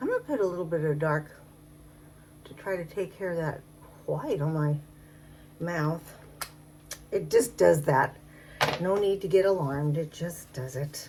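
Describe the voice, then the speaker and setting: Amid noticeable background noise, a woman with a fairly low voice and ordinary pitch variation speaks at a moderate pace, broken by long, frequent pauses. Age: 70s. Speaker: makeup vlogger. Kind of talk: casual talk to camera. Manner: chatty, rambling.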